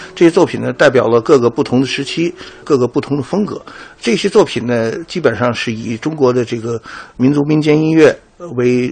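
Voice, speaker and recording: Against noticeable background noise, a man speaks at a medium pitch and a fairly quick pace. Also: ordinary pitch variation. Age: 60s. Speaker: conductor. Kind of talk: interview. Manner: halting, many fillers.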